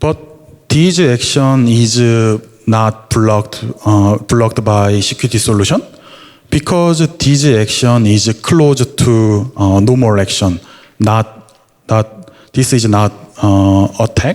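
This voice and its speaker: With a Korean accent, a man reads at a very slow pace in a medium pitch, keeping very even loudness and ordinary pitch variation. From South Korea. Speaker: security engineer. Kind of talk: conference talk. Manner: halting.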